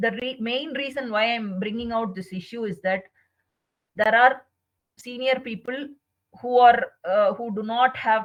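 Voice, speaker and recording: In an Indian accent, the speaker keeps a fairly even intonation at a fairly slow pace. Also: woman. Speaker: chartered accountant. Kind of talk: webinar presentation. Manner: hesitant, many fillers.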